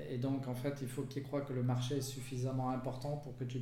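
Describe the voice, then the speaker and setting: With audible room echo and noticeable background noise, a man of medium pitch speaks very fast in a flat monotone. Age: 50s. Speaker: entrepreneur. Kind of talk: interview.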